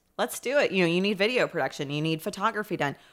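A woman with an American accent speaks in a bright, sharp tone with lively intonation, recorded very cleanly against a silent background. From Indianapolis, Indiana (east side). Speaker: startup founder. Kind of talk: casual chat.

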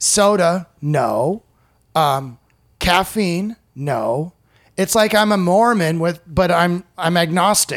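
A man's high-pitched voice with a US Midwestern accent, very slow pace and very even loudness. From US Midwest, Iowa. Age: 40s. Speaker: stand-up comedian. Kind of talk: casual chat.

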